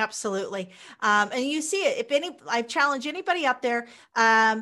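A woman with an American accent speaks in a high pitch with a bright, sharp tone and very wide pitch swings. The recording is very clean, with a silent background. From Kansas, US Midwest. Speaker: entrepreneur and book publisher. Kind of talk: interview.

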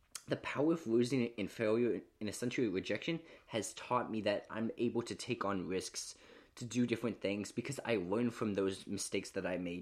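A plain, everyday voice from a man, medium in pitch, moderate in pace, with ordinary pitch variation, on a very clean recording with a silent background. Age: 20s. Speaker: podcaster. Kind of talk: motivational monologue.

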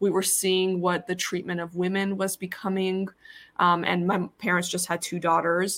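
The intonation stays monotone and flat, and the pace is moderate. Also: woman, medium pitch for a woman. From Iran, raised in US from age six. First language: Persian. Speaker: plastic surgeon. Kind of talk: casual chat. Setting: video call.

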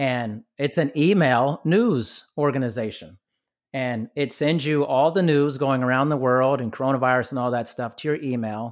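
A man speaks in a plain, everyday voice with an American accent. His pace is moderate, and his pitch varies in an ordinary way. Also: medium pitch for a man. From US, military family (Germany, Georgia, Virginia). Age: 40s. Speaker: podcast host. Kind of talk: casual chat. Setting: remote call.

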